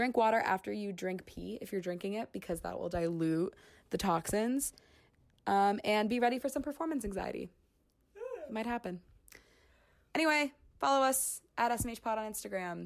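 A woman's animated voice at a moderate pace, with lively intonation and long, frequent pauses. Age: 20s. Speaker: podcast co-host. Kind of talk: casual chat. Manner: loud.

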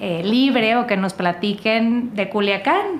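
A woman speaks at a fairly slow pace with ordinary pitch variation. Her medium-pitched voice carries audible room echo. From northern Mexico. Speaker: podcast host. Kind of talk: casual chat.

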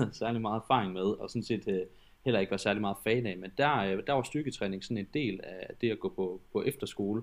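A man with a fairly low pitch and ordinary pitch variation, moderate pace, quiet background. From West Jutland, Denmark. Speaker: personal trainer. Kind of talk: interview. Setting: online call. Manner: halting, many filler words.

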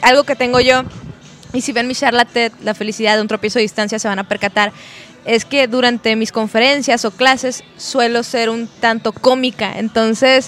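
Over noticeable background noise, a woman with a fairly high pitch speaks at a moderate pace in a flat, monotone way. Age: 30s. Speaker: psychologist and speaker. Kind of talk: podcast interview. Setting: brewery venue.

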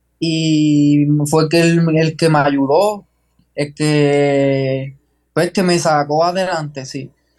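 Over music in the background, a man with a fairly high pitch talks at a very slow pace with fairly even intonation. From Puerto Rico, Jayuya. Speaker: long-distance runner. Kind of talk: interview. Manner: halting.

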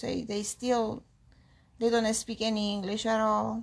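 A woman with a Peruvian accent speaks at a fairly high pitch and a fairly slow pace. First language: Spanish. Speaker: immigrant interviewee, aspiring nurse. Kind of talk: interview. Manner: halting.

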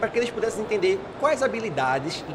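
There is noticeable background noise behind this man. His pitch swings very widely. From Pernambuco, Brazil (Paulista). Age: 20s. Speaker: young community leader. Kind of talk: interview. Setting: studio.

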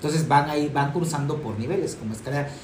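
Speaking very fast, a man uses a fairly high pitch. Room echo and noticeable background noise are both audible. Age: 30s. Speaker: physician. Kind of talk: casual chat.

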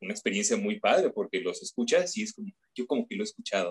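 Someone with a Mexican accent speaks with very wide pitch swings in a dry, close sound with no echo. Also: man. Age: 30s. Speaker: voice actor. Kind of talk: interview. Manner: hesitant.

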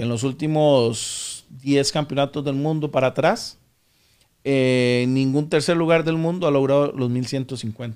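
With an ordinary speaking voice, a man talks at a fairly slow pace, his pitch fairly high and his intonation fairly even. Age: 40s. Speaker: powerlifting athlete. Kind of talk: interview. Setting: studio.

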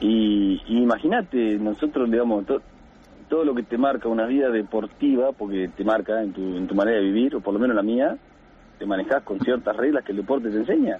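A man's medium-pitched, normal speaking voice at a fairly quick pace, with ordinary pitch variation. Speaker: caller, childhood friend and teammate. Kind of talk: radio interview.

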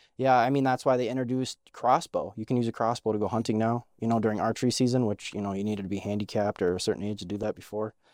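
A man's medium-pitched voice with an American accent, very fast and with hardly any pauses, fairly even in intonation, in a dry, close, echo-free and very clean recording with a silent background. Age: 20s. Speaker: podcast host. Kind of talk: casual chat.

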